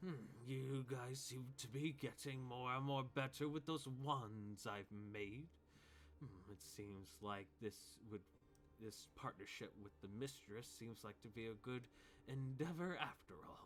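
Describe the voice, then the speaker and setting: Putting on a character voice, a man talks at a fairly slow pace and medium pitch amid clear background noise. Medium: actual play. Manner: musing, drawn-out hums.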